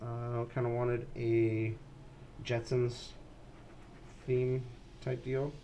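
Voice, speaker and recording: The tone is dark and mellow, somewhat breathy, with fairly even intonation and a very slow pace. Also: man. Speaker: video game streamer and modder. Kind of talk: live stream game commentary. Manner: halting, stumbling with fillers.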